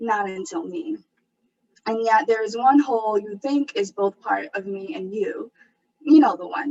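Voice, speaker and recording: With big swings in loudness and lively intonation, a woman with an unremarkable speaking voice talks at a fairly slow pace in a fairly high pitch. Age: 20s. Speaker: poet. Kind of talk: spoken word performance.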